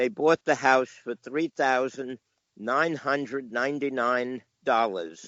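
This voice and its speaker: With a New York accent, a man speaks at a fairly slow pace and ordinary pitch variation. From New York, Long Island (New Hyde Park, near Queens). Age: 70s. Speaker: comic book collector and dealer. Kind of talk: casual interview, storytelling. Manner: halting, with many fillers.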